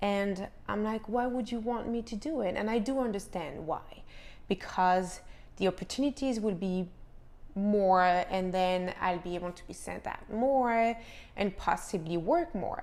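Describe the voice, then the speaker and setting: With a French accent, a woman speaks at a fairly slow pace, her medium pitch varying in an ordinary way. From France, Paris. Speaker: actress and vlogger. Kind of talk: casual vlog monologue.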